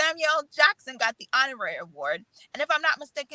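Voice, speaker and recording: A woman projects a raised voice with a bright, sharp tone, the sound dry and close with no echo. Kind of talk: casual chat.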